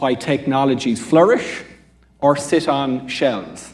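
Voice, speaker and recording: At a fairly slow pace, a man talks in an Irish accent. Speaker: quantum computing panelist. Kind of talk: panel discussion.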